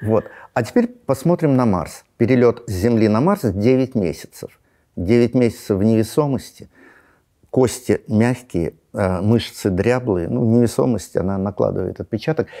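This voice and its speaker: A man with a dark, mellow tone talks at a fairly slow pace with ordinary pitch variation. The background is quiet. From Russia. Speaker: astrophysicist, science popularizer; guest. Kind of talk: interview. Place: studio. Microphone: lapel.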